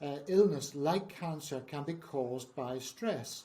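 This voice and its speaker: This is a man with a fairly high pitch, speaking in a Northern Irish accent. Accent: Northern Irish (Belfast). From Northern Ireland, Belfast. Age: 70s. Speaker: founder of a trauma charity. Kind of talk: interview.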